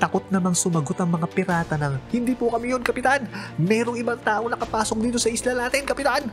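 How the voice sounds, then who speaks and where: A man talks at a fairly quick pace while music plays behind him. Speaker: voice over artist. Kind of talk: anime recap narration.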